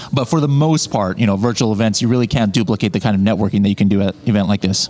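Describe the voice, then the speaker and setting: A man with ordinary pitch variation is heard through noticeable background noise. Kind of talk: casual interview chat. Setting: in person at event.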